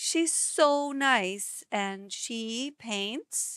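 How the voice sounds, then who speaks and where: This woman's voice sits high, with a non-native accent and ordinary pitch variation. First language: not English. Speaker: ceramic painter and live streamer. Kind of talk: casual live-stream chat while painting. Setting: live stream. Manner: relaxed, with pauses and word searching.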